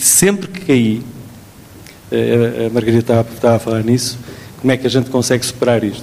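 With a European Portuguese accent, the speaker moves at a fairly quick pace with long, frequent pauses and ordinary pitch variation over noticeable background noise. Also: man, medium pitch for a man. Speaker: physician. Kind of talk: testimony. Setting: stage with audience.

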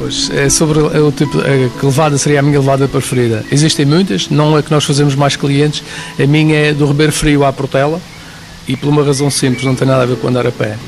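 A man's fairly high voice at a fairly quick pace, with very even loudness, fairly even intonation and noticeable background noise. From Madeira, Portugal (Prazeres, west of the island). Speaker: mountain guide and tour driver. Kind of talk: radio interview.

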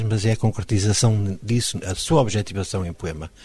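A man's fairly low, dark, mellow, somewhat breathy voice at a fairly quick pace. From Mozambique. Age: 50s. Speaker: poet. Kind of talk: interview.

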